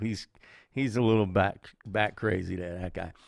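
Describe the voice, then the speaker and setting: In a very clean recording with a silent background, a man with a New York accent speaks in an animated tone at a moderate pace, his fairly low pitch showing ordinary variation. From Brooklyn, New York. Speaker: podcast host and chef. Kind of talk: casual livestream monologue.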